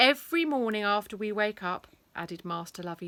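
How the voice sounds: In a natural reading voice, the speaker reads with lively intonation.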